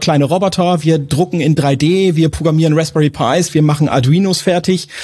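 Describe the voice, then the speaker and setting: At a moderate pace with hardly any pauses, a man talks in a fairly high pitch, his dark, mellow tone carrying fairly even intonation. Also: very even loudness. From northern Germany, Lower Saxony. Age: 40s. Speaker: IT manager in a trades company. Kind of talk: casual interview.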